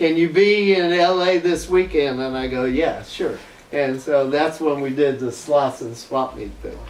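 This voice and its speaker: Speaking at a fairly slow pace with an American accent, a man talks at a fairly high pitch with ordinary pitch variation. Noticeable background noise and audible room echo fill the recording. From US South, Florida. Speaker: internet dancer. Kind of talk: casual interview chat.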